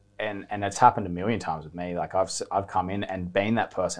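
A man talks at a fairly quick pace with an Australian accent. The background is quiet. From Australia, Byron Bay. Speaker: professional surfer; interview guest. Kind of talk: casual chat. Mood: relaxed, reflective. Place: studio. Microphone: lapel.

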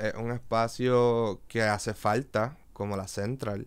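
A man with a Puerto Rican accent against a quiet background. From Puerto Rico, Río Piedras; Puerto Rico. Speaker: visual artist and DJ; podcast guest. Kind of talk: casual interview chat. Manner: halting, many fillers. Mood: calm, reflective. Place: studio. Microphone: studio mic.

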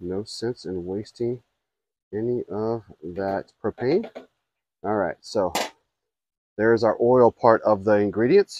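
With a dry sound and no echo, a man talks at a moderate pace with ordinary pitch variation and long, frequent pauses. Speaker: griddle cook host. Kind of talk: cooking tutorial. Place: garden.

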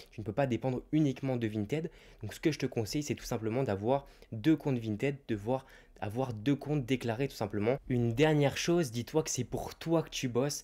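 With a dark, mellow tone, a man talks at a medium pitch and moderate pace with ordinary pitch variation. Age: 20s. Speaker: YouTuber and online reseller; YouTuber, online reseller. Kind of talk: YouTube advice monologue. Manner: casual, direct address. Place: home room. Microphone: handheld.

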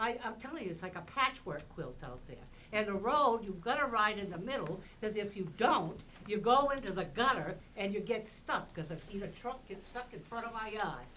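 Lively intonation and big swings in loudness at a moderate pace, with audible room echo and noticeable background noise. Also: woman, fairly high pitch for a woman. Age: 80s+. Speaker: local resident speaking at public hearing. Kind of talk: public comment at town hearing. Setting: town hall meeting room. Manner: animated.

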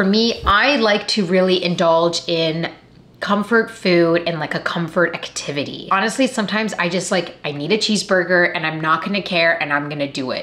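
With a Canadian accent, a woman talks at a moderate pace in a fairly low pitch, using ordinary pitch variation. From Canada. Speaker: actor and YouTuber; actor, YouTuber. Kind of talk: vlog talk to camera. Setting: at home. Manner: animated. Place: home room.

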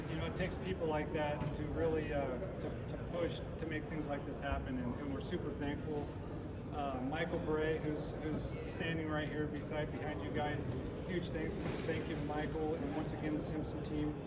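Loud background noise runs behind the voice. A man speaks at a moderate pace. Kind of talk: seminar talk to audience. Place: hall. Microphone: camera far.

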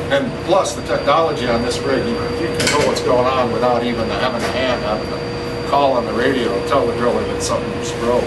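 There is loud background noise. A man speaks at a fairly quick pace over it. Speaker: tour guide. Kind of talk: guided tour explanation. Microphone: camera far.

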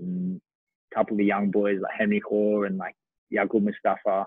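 Against a quiet background, dry with no echo, a man with an Australian accent speaks at a fairly low pitch and a moderate pace in a monotone, flat way. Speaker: professional footballer; guest. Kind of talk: casual chat. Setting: video call. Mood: relaxed, friendly. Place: home room. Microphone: video call.

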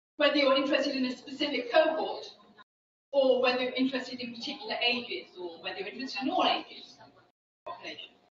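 A woman speaks at a very fast clip in a high pitch, with audible room echo and light background noise. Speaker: social science researcher. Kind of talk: lecture. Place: hall.

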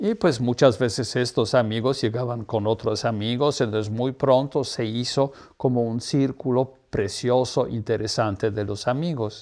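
Against a quiet background, a man speaks at a medium pitch with fairly even intonation. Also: fairly slow pace. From Poland. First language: Polish (speaking Spanish). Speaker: artist's partner and promoter; interviewee. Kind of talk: interview. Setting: at home. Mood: warm, amused reminiscing. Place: home room. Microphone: lapel.

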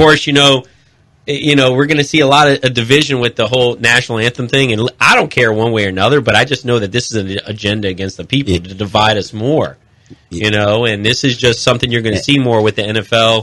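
At a very fast pace, a medium-pitched man with an American accent and a bright, sharp tone talks with ordinary pitch variation and big swings in loudness. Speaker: radio co-host. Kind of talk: talk radio. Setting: studio.

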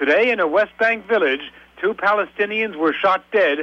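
A man's raised, projected voice, bright and sharp in tone, at a moderate pace. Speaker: news correspondent. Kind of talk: radio news report.

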